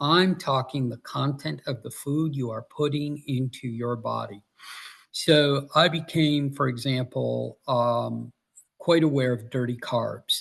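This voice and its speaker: A man speaks at a fairly slow pace in a fairly high, somewhat breathy voice. His intonation stays fairly even. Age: 60s. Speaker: author and Navy veteran. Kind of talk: interview.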